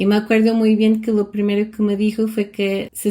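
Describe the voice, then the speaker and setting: A woman with a Portuguese accent speaks in a dark, mellow tone. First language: Portuguese (speaking Spanish). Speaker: vlogger. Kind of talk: personal storytelling.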